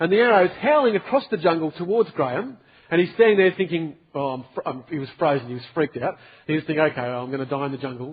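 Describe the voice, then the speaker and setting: Talking at a very fast pace, a man uses lively intonation with big swings in loudness. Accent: Australian. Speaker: pastor. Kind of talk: sermon to a youth group. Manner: casual, storytelling.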